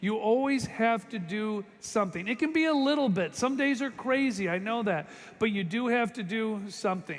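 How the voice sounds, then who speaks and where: A man speaks loudly at a moderate pace. His pitch is high, with ordinary variation. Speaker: motivational speaker at sales convention. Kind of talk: motivational speech. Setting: stage with audience. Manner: animated.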